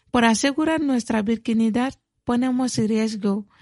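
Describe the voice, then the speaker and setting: Somewhat breathy speech with a dark, mellow tone and fairly even intonation, recorded dry and close with no echo against a quiet background. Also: woman. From Mali, south (Mandinka). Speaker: community health worker and activist. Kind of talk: radio interview. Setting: studio.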